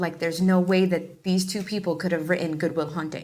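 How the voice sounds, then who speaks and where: A woman with a New York accent, a bright, sharp tone and a fairly low pitch. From New York, the Bronx. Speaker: actor and filmmaker. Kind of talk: interview. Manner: casual, chatty.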